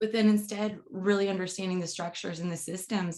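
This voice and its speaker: An unremarkable speaking voice carries ordinary pitch variation. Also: woman. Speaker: podcast host and university communication educator. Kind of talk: casual interview.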